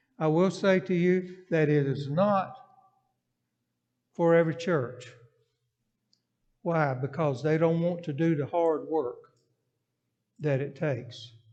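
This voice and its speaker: At a very slow pace with long, frequent pauses, a man with a fairly high pitch speaks in a Southern US accent, with ordinary pitch variation and audible room echo. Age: 70s. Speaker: interim pastor. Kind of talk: Q&A session in church. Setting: church.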